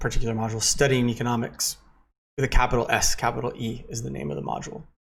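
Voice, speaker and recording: A man's very fast, somewhat breathy speech at a medium pitch, with an American accent. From United States. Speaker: university lecturer. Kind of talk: lecture. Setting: recorded at home in living room. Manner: casual, with frequent fillers.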